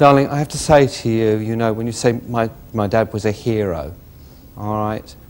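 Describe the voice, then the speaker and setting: A man's fairly low voice with a southern English accent. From West Sussex, England. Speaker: psychic medium. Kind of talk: psychic reading to audience member. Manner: warm, reassuring.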